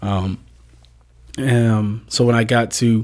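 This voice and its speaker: At a medium pitch with ordinary variation, a man speaks in a very clean recording with a silent background. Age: young. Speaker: photographer. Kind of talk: interview.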